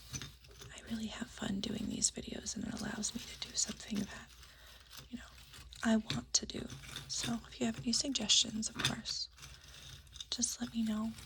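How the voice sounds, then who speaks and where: Against noticeable background noise, a woman whispers at a moderate pace with long, frequent pauses. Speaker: ASMR creator. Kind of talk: soft-spoken ASMR show-and-tell. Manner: soft-spoken; hesitant, many fillers.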